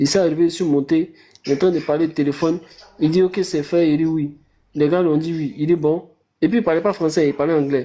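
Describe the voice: A fast-paced man's voice with a dark, mellow tone and fairly even intonation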